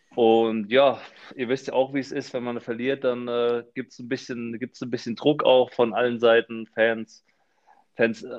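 A man's normal speaking voice, medium in pitch, at a moderate pace. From Frankfurt, Hesse, Germany. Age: 20s. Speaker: professional footballer. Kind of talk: casual chat.

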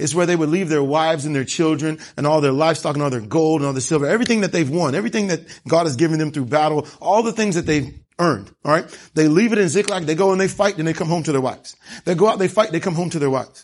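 An animated voice rushes along at a very fast pace with ordinary pitch variation. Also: man, fairly high pitch for a man. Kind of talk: sermon. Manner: animated, building preacher cadence with call-and-response.

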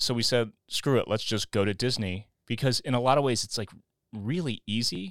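In a plain, everyday voice, a man with an American accent speaks at medium pitch and a moderate pace with ordinary pitch variation, the very clean recording dry and close with no echo and a silent background. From Missouri, St. Louis. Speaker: rock musician and podcast host. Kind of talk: casual chat.

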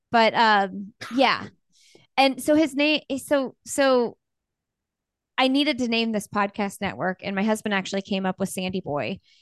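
A woman with a Midwestern American accent speaks at a fairly high pitch and a moderate pace, with lively intonation and long, frequent pauses. The sound is dry and close with no echo, over a quiet background. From Bloomington, Indiana. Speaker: podcaster and podcast network owner. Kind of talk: casual interview chat.

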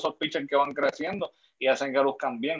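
A man speaks in a plain, everyday voice, fairly high-pitched, at a fairly quick pace with ordinary pitch variation. The sound is dry and close, with no echo. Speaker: podcast guest. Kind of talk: casual chat.

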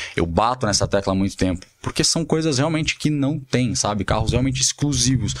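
A man speaks in a plain, everyday voice at medium pitch, with lively intonation and very even loudness. His pace is fairly quick, with hardly any pauses. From Brazil, São Paulo. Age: 30s. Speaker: luxury car dealer. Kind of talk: casual interview.

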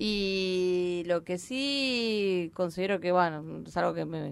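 In a very clean recording with a silent background, a woman speaks in an unremarkable speaking voice with ordinary pitch variation. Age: 50s. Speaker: actress and stand-up comedian. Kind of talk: casual chat.

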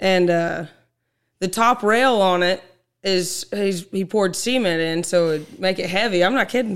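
In an American accent, a woman talks at a fairly slow pace in a normal speaking voice. Her pitch is medium with ordinary pitch variation, on a very clean recording with a silent background. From Oklahoma, Osage County. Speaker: ranch rodeo cowgirl. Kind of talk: casual interview.

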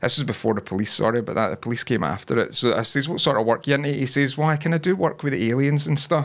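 A man with a Scottish accent, fairly high-pitched, talking very fast with ordinary pitch variation. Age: 30s. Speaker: podcast host. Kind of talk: casual chat, live stream. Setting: wearing headphones, live stream. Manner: jokey, crude humor.

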